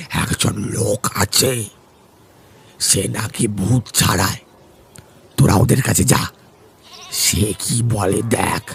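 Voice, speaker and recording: Putting on a character voice, a man speaks in a raspy, fairly low register. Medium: read story. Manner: grave.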